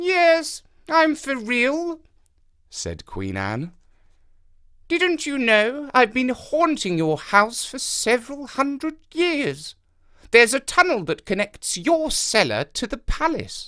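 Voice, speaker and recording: Set against a silent background on a very clean recording, a put-on character voice speaks high-pitched at a fairly slow pace. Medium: read story.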